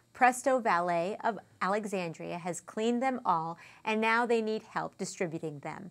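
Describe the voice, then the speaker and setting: A woman talks at a moderate pace in an upbeat tone, with ordinary pitch variation. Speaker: community TV news host and interviewer. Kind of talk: news reading and interview. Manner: upbeat and chatty. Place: studio.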